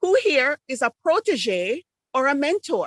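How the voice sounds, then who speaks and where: The recording is dry and close, without echo. The voice is a woman's. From Jamaica. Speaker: Toastmasters speaker on presentation tech. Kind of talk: club speech presentation.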